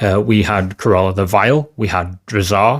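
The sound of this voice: A man speaks at a fairly slow pace. His pitch sits fairly low.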